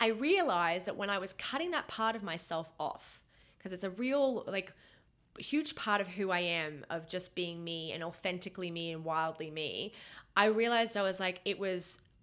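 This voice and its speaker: In a very clean recording with a silent background, a woman speaks with an Australian accent. Her medium-pitched voice moves at a moderate pace with lively intonation. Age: 30s. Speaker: podcast co-host. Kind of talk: casual chat.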